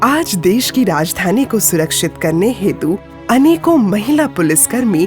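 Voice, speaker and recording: A woman at a medium pitch with very wide pitch swings, music in the background. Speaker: documentary voice-over narrator. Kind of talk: documentary narration.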